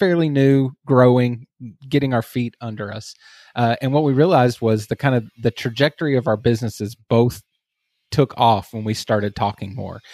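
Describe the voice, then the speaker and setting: A man with a Texas accent, medium pitch and a dark, mellow tone, talking at a moderate pace with ordinary pitch variation, in a dry, close sound with no echo on a very clean recording with a silent background. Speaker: agency owner and online community founder. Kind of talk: casual interview chat.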